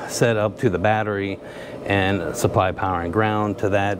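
A man speaks at a fairly low pitch with fairly even intonation. Noticeable background noise sits behind him. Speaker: channel host. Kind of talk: casual vlog chat. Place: garage. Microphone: lapel.

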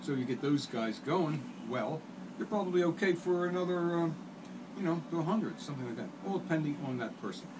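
Noticeable background noise runs under a man's fairly high voice. He speaks at a fairly quick pace with lively intonation. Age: 60s. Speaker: artist and jiu-jitsu practitioner. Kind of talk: casual interview. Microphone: camera far.

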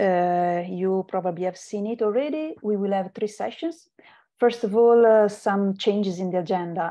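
This woman has a dark, mellow tone. Her pitch varies in an ordinary way. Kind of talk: meeting introduction. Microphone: video call.

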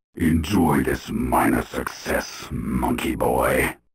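A man uses a put-on character voice, raspy and very deep in pitch. He speaks at a very slow pace. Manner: mocking, taunting.

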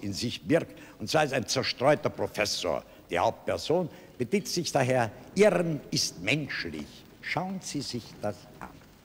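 The speaker moves at a fairly slow pace with long, frequent pauses and very wide pitch swings. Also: man. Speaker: TV show host. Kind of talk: comic presentation to camera. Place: studio. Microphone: studio mic.

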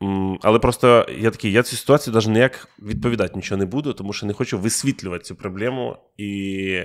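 Speaking very fast at a fairly low pitch with ordinary pitch variation, a man shows big swings in loudness on a very clean recording with a silent background. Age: 30s. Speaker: podcast host, stand-up comedian. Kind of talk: casual chat. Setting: studio. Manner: animated.

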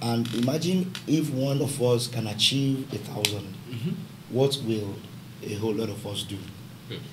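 Over noticeable background noise, a man talks at a moderate pace in a medium pitch with ordinary pitch variation. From Nigeria. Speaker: pastor and business founder; pastor. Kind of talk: panel discussion. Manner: halting. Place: studio.

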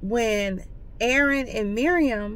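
A woman at a very slow pace, her pitch fairly high. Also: dry sound with no echo. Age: 40s. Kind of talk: casual talk to camera. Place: car. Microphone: phone near.

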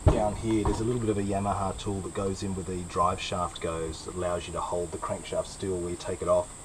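Light background noise under a man talking. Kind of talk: tutorial. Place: workshop. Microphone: camera far.

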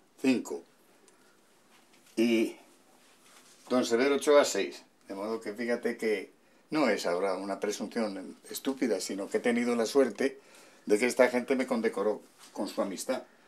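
Speaking at a moderate pace with long, frequent pauses, a man uses fairly even intonation in a Castilian accent. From Madrid, Spain. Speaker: voice actor and poet. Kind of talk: casual talk to camera, home tour. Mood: warm, nostalgic. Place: home room.

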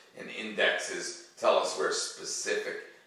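Slow speech from a man with a bright, sharp tone and strong room echo

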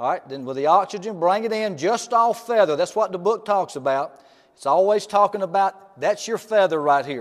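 The man's pitch is high. He talks at a moderate pace with lively intonation.

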